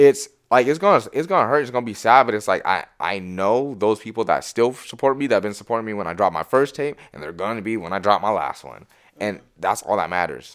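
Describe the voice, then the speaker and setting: In an American accent, a man speaks very fast at a medium pitch with lively intonation. His loudness swings a lot, and the recording is very clean with a silent background. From Washington State, US. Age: 20s. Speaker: musician. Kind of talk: casual chat.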